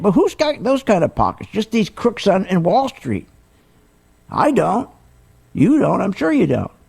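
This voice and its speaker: Animated male voice with very wide pitch swings and a moderate pace. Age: 70s. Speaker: radio host and stock market educator. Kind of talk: radio talk show commentary.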